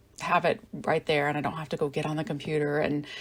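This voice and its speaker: This woman's voice sits very deep and low, with vocal fry running through it. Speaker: crafting channel host. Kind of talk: craft tutorial voiceover. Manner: hesitant, many fillers.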